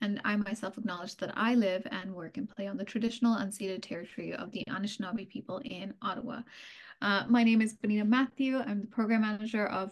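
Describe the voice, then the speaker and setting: Against a quiet background, a woman talks at a very fast pace. Her somewhat breathy voice keeps fairly even intonation. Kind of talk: webinar opening remarks. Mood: friendly, welcoming. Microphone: video call.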